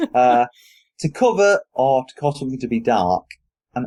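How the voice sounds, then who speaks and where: In a British accent, a man speaks with a dark, mellow tone in a dry, close sound with no echo. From Britain. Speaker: podcast host. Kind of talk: casual chat.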